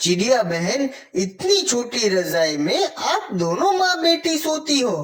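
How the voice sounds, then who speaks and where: A cartoonish character voice at a fairly high pitch, with very wide pitch swings and a very slow pace. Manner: polite, gentle.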